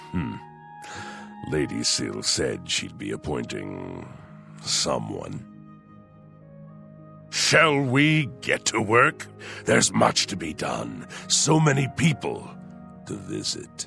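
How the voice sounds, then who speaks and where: A man's put-on character voice at a very deep, low pitch, very slow with long, frequent pauses, over clear music in the background. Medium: video game. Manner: suave, sardonic.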